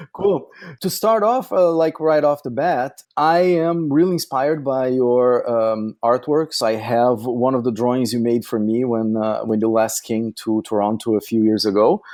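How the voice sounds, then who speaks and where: A man with a Brazilian accent speaks at a medium pitch with lively intonation. He leaves hardly any pauses. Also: moderate pace. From Brazil (south). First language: Portuguese. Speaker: podcast host, photographer. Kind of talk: scripted intro then interview.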